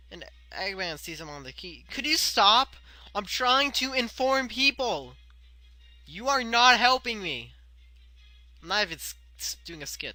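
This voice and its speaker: A man projects a raised voice with lively intonation. Music plays in the background. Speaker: video commentator. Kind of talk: casual video commentary. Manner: fast; mumbling.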